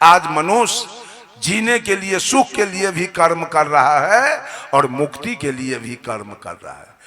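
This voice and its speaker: This voice moves through very wide pitch swings and big swings in loudness against noticeable background noise. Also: man, high pitch for a man. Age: 60s. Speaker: religious preacher. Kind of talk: sermon. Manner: animated.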